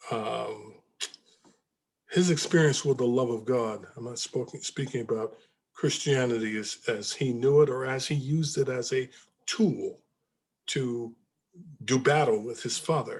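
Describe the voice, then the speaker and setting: A man with a medium pitch talks at a fairly slow pace with long, frequent pauses, ordinary pitch variation, and a somewhat breathy sound. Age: 70s. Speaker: book discussion leader. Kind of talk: group discussion. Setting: video call. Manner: halting.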